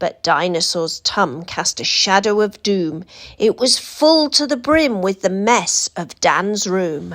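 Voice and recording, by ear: A woman talks at a slow pace with lively intonation.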